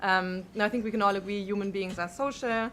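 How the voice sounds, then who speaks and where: A woman with a strong German accent, medium pitch, fairly even intonation and a very fast pace. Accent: thick German. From Germany. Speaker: panelist on technology policy. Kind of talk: conference panel talk. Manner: frequent filler words (um, uh).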